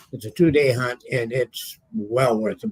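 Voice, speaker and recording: A man talks at a medium pitch with a somewhat breathy sound. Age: 80s+. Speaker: metal detectorist. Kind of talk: casual chat. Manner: halting.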